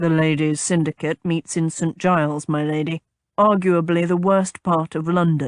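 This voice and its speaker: A put-on character voice, rumbling and raspy, at a middle pitch and moderate pace. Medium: read story. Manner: even, calm, reserved.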